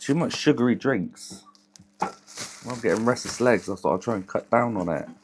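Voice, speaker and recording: Over noticeable background noise, the speaker uses lively intonation at a moderate pace, broken by long, frequent pauses. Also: man, medium pitch for a man. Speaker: electronics repair streamer. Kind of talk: live stream chat while repairing.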